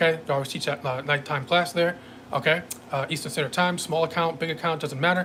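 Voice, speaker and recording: A man's fairly high voice at a very fast pace, with fairly even intonation over noticeable background noise. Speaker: day trading instructor. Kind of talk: sales pitch; live trading stream commentary. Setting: live stream. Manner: many fillers, hesitant.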